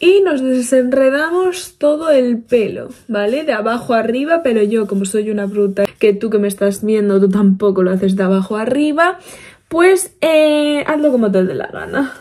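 Her voice is animated and fairly high for a woman, with very wide pitch swings. She speaks at a moderate pace. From Spain. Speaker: beauty vlogger. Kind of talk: casual get-ready-with-me vlog. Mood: playful, self-mocking. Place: home room. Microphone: phone near.

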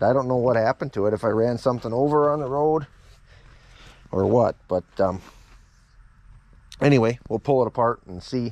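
Fairly quick male speech with ordinary pitch variation and a dry sound with no echo. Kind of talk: casual vlog chat. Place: farm machine. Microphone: phone near.

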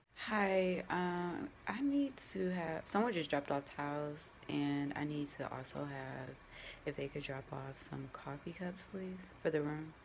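This woman has a very deep, low pitch with ordinary pitch variation. She talks at a fairly slow pace. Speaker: vlogger. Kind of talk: casual vlog; phone call. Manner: filler-heavy casual speech.

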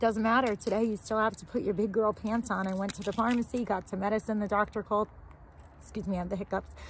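Light background noise and a dry sound with no echo frame a woman who talks very fast in a somewhat breathy voice with fairly even intonation. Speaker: homesteading vlogger. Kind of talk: casual vlog chat. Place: street.

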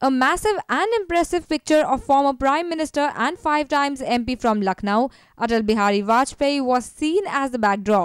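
A woman with a high pitch swings her pitch very widely while keeping her loudness very even, speaking with hardly any pauses in a dry, close sound with no echo. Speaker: news reporter. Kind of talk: news report narration.

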